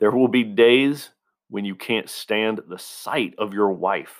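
Very slowly, a man speaks at medium pitch with ordinary pitch variation. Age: 40s. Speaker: podcast host, military veteran. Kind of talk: motivational monologue. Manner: casual, conversational.

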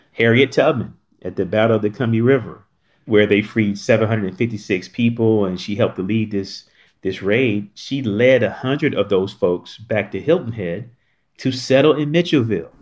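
A normal speaking voice from a man with an American accent, medium in pitch with ordinary pitch variation, at a moderate pace, on a very clean recording with a silent background. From North Carolina. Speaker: historic site director. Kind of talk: interview.

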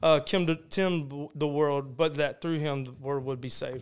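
At a moderate pace, a man speaks in an animated tone on a very clean recording with a silent background. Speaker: high school football coach. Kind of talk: casual chat.

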